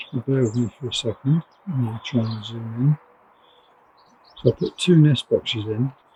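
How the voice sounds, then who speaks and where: Soft-spoken delivery with long, frequent pauses. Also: moderate pace. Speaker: canary breeder. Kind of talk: video diary. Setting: outdoors. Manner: hesitant, many fillers.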